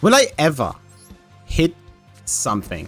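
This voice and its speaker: A man's voice with music in the background. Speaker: gaming commentator. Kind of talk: casual gameplay commentary.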